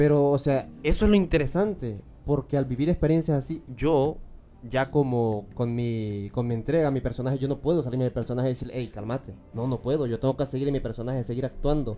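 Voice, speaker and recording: Speaking at a fairly quick pace, a man uses a dark, mellow tone with ordinary pitch variation. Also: medium pitch for a man. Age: 20s. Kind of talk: interview.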